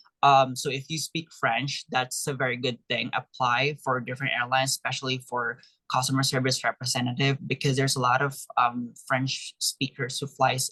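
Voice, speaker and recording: The sound is dry and close with no echo as a man with a Filipino accent speaks at a moderate pace and medium pitch, his tone bright and sharp, his intonation monotone and flat. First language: Tagalog. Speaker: airline customer service agent. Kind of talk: panel discussion.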